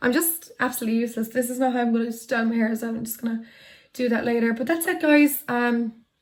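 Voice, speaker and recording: Speaking at a very fast pace with an Irish accent, a woman uses a high pitch and fairly even intonation. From Ireland, County Tipperary. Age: 20s. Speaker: YouTuber. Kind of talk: casual chat. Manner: casual, hesitant with many fillers.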